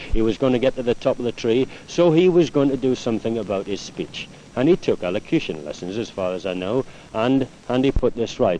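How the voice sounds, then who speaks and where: A man with a Newcastle accent talks at a fairly quick pace, his intonation lively. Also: medium pitch for a man. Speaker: former footballer and teammate. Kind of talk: interview reminiscence.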